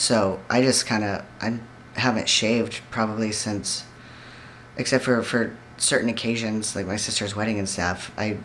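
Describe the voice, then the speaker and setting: A man's fairly low voice in a monotone, flat delivery at a moderate pace, with noticeable background noise and audible room echo. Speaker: vlogger. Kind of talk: personal video diary. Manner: somewhat monotone.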